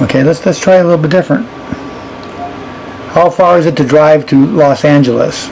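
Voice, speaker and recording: There is noticeable background noise. Through it, a man talks with ordinary pitch variation. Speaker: tech reviewer. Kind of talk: tutorial.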